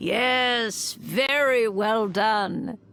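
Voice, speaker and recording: A female-sounding voice, pitched fairly high for a woman. It is a put-on character voice. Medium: video game. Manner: dry, measured.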